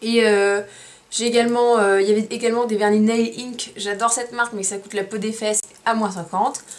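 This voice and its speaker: Through noticeable background noise, a woman with a fairly high pitch talks at a fairly quick pace. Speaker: beauty vlogger. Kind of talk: product haul review. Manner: fast; animated.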